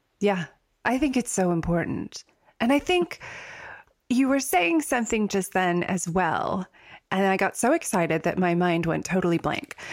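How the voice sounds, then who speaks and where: Moderate pace, long and frequent pauses, and lively intonation from a woman at medium pitch, her loudness very even, in a very clean recording with a silent background. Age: 40s. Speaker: podcast host and writer. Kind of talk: casual chat.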